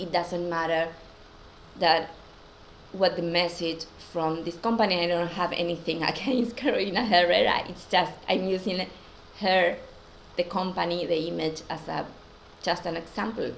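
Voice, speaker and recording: A woman with a non-native accent and fairly low pitch, fairly even intonation, a moderate pace, long and frequent pauses, and noticeable background noise. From Argentina, Buenos Aires. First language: Spanish. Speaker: spiritual teacher. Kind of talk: casual talk to camera. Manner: hesitant.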